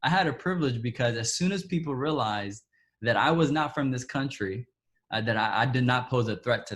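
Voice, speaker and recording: Over a silent background in a very clean recording, a man talks at a fairly quick pace and medium pitch with lively intonation. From Texas, Dallas (born in Ethiopia). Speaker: interviewee sharing personal story. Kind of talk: testimony. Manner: halting.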